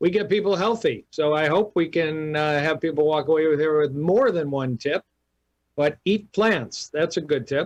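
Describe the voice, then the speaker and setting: A man with an American accent, a plain, everyday voice and lively intonation. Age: 60s. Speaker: cardiologist. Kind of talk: radio interview.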